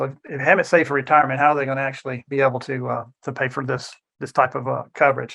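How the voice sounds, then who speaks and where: The speech comes at a very fast pace with fairly even intonation. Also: man. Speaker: financial advisor. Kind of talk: educational presentation.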